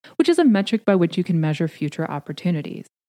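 In a western Canadian accent, a woman speaks with a fairly low pitch and a dark, mellow tone, the sound dry and close with no echo. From Canada, rural southern Alberta. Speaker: podcast host, career coach for PhDs. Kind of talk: solo podcast monologue, advice talk.

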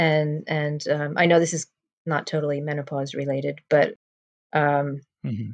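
A woman's very deep, low voice with an American accent, monotone and flat, with long, frequent pauses, in a dry, close sound with no echo. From New Jersey. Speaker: health and fitness coach. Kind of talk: interview. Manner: slow.

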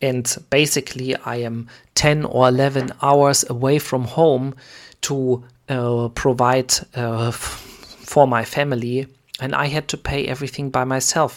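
Speaking in a German accent at a fairly slow pace, the voice leaves long, frequent pauses. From Germany. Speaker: podcast host, preacher. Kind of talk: sermon-style teaching. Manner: halting, many fillers.

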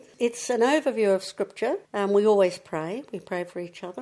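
In a New Zealand accent, a woman talks at a fairly quick pace. Her medium-pitched voice is dark and mellow, with ordinary pitch variation. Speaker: churchgoer sharing faith testimony. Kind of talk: testimony interview.

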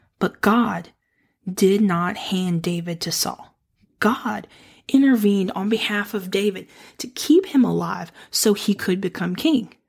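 Recorded very cleanly over a silent background, a woman speaks fairly slowly in a warm, somewhat breathy tone at medium pitch with ordinary pitch variation. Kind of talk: devotional talk on scripture. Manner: warm and encouraging; laughs often.

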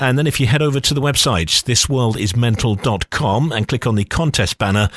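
In a very clean recording with a silent background and a dry, close sound with no echo, a man uses an ordinary speaking voice at a fairly quick pace with lively intonation. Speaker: radio presenter. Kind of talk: casual chat.

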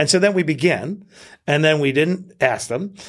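In a normal speaking voice, a man with an American accent talks at a moderate pace, his fairly high pitch moving with lively intonation. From Queens, New York. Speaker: entrepreneur and author. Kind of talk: interview conversation.

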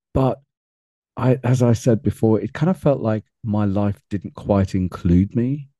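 This man has a British accent and a dark, mellow tone at a medium pitch, with ordinary pitch variation and a fairly slow pace. The sound is dry and close, with no echo. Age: 50s. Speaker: men's personal development coach. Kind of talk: interview.

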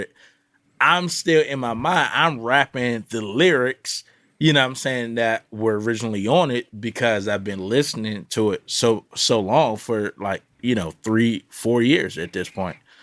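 On a very clean recording with a silent background and a dry, close sound with no echo, a man speaks in a normal speaking voice at a moderate pace, medium pitch and ordinary pitch variation. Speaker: podcast host. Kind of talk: casual panel chat about audio and music. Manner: laid-back, slangy.

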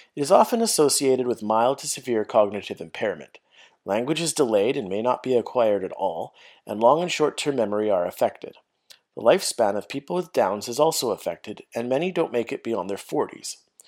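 The speaker has a plain, everyday voice and a Canadian accent, with lively intonation. The pace is fairly quick, and the recording is very clean with a silent background. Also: man, medium pitch for a man. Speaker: podcast host, special education teacher. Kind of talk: scripted monologue, educational.

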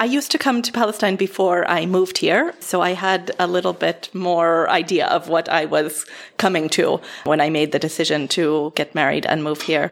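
In an ordinary speaking voice with an American accent, a woman talks at a moderate pace with fairly low pitch, ordinary pitch variation and very even loudness on a very clean recording with a silent background. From United States. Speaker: nonprofit worker. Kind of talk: casual chat.

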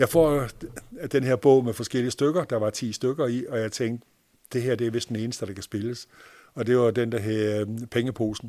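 On a very clean recording with a silent background, a man speaks in a dark, mellow tone at a medium pitch, his intonation fairly even. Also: moderate pace. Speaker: magician and clown performer. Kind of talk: storytelling interview. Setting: home, on a sofa.

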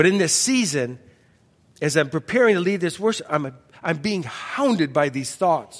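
An ordinary speaking voice, this man's pitch is fairly high, his intonation lively, and his pace moderate. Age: 60s. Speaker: pastor. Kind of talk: sermon. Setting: church.

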